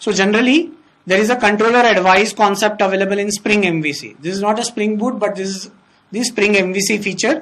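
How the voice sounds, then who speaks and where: A woman speaks at a fairly quick pace and medium pitch, with ordinary pitch variation. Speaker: software trainer. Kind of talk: technical lecture. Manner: fast.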